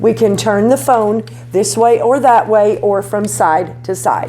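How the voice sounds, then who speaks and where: A woman speaks loudly at a medium pitch and a fairly slow pace. Music plays in the background, and audible room echo surrounds her voice. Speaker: beauty vlogger. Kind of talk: tutorial. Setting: home garage studio. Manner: animated. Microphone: cheap lapel mic, distorts when loud.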